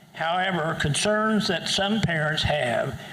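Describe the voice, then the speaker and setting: A man at a very slow pace with ordinary pitch variation, amid audible room echo and noticeable background noise. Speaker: public commenter at school board meeting. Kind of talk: public comment speech. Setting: school board meeting. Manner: loud.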